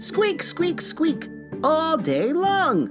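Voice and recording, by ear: Putting on a character voice, a man speaks at a very slow pace in an extremely high pitch with very wide pitch swings and a fairly bright tone, while faint music plays in the background.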